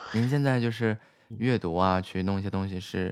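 On a very clean recording with a silent background, the speaker keeps a moderate pace and a lively intonation. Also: man. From Inner Mongolia (Baotou). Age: young. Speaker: livestream host and designer. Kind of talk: casual chat. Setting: livestream voice connection. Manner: friendly, chatty.

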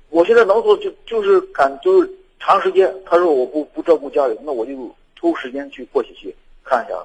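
A man's loudness rises and falls widely as he talks at a fairly quick pace. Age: young. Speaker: radio caller. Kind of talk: call-in advice conversation. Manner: halting.

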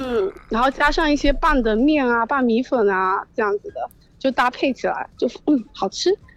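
A high-pitched woman with lively intonation at a moderate pace, in dry, close sound with no echo. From Ningde, Fujian, China. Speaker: listener caller. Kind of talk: casual phone chat. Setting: phone call.

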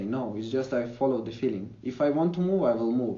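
A man talking at a fairly quick pace, with audible room echo. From Ukraine. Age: young. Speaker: digital nomad and language educator. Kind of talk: interview conversation. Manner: hesitant, frequent fillers.

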